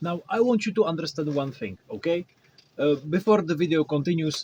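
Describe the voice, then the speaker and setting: A somewhat breathy man with a Czech accent, in a dry, close sound with no echo. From Czech Republic. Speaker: cosplay maker. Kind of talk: tutorial. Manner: halting.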